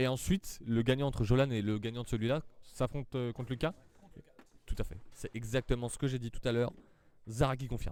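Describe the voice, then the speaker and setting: A man's medium-pitched voice at a fairly quick pace, with ordinary pitch variation and long, frequent pauses. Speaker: amateur foosball commentator. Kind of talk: live commentary. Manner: animated.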